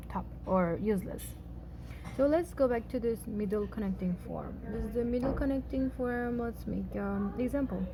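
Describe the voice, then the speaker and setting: A woman with a Xinjiang accent speaks at a moderate pace. Noticeable background noise runs beneath her voice. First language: Uyghur. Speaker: language teacher. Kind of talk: tutorial. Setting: at home with housemates. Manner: hesitant, many fillers.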